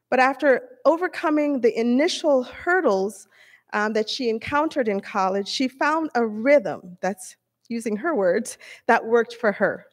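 Over a quiet background, a woman speaks at a moderate pace with a high pitch. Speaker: presenter. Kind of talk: award presentation speech. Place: hall. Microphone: podium.

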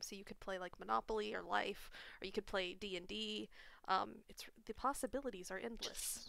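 A woman with a cheerful tone in a dry sound with no echo. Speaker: live streamer hosting a game night. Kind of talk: casual chat while gaming. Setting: online voice chat, at home with webcam. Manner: laughs often, cheerful. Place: home room.

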